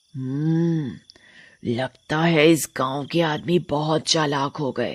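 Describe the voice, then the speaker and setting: In a cartoonish character voice at middle pitch, the speaker goes at a very slow pace. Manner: menacing, gloating.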